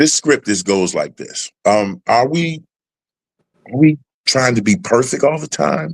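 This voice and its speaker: A man at a moderate pace in a dry, close sound with no echo. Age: 60s. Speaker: live show host. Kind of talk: casual chat. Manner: halting, repeats words.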